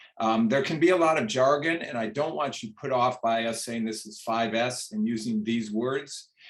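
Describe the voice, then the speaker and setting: A man's normal speaking voice at medium pitch, moderate pace with hardly any pauses, and ordinary pitch variation. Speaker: retired physician, quality improvement presenter. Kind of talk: lecture.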